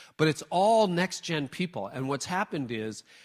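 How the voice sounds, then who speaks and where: Lively in intonation and fairly quick in pace, a man with an unremarkable speaking voice comes through on a very clean recording with a silent background. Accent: Canadian. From Canada. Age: 50s. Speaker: church leadership speaker. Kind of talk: talk with audience Q&A.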